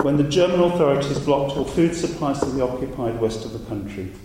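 With noticeable background noise, a man talks at a fairly high pitch with very wide pitch swings. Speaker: academic speaker. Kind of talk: academic talk.

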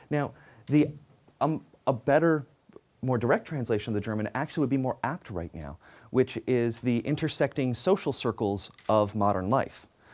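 On a very clean recording with a silent background, a medium-pitched man speaks at a moderate pace with lively intonation. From Canada. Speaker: sociologist. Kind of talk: lecture. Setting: stage with audience. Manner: halting.

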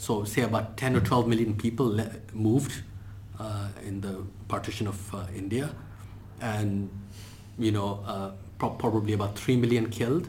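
Pitched fairly low, a man speaks at a moderate pace with a somewhat breathy voice. His intonation stays fairly even, broken by long, frequent pauses. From Indian heritage. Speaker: history professor. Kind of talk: lecture. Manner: unscripted, hesitant fillers.

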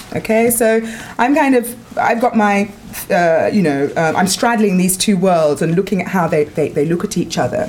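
A woman with a London accent, lively intonation and very even loudness, over noticeable background noise. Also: medium pitch for a woman, moderate pace. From North London. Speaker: academic researcher. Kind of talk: talk at a seminar. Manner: halting, many fillers.

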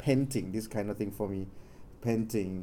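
With ordinary pitch variation, this voice has a dark, mellow tone. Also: man. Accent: Thai. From Thailand. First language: Thai. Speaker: Jesuit researcher. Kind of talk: academic presentation. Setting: stage with audience. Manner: halting.

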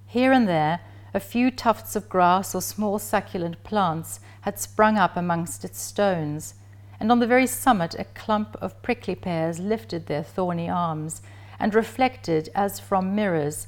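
In a very clean recording with a silent background, a woman talks at a fairly slow pace, her fairly low pitch swinging very widely. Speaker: professor giving a talk. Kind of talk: lecture with passages read aloud from a novel, literary reading. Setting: lecture presentation. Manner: measured, slow and evocative when reading the passage aloud; formal, scholarly.

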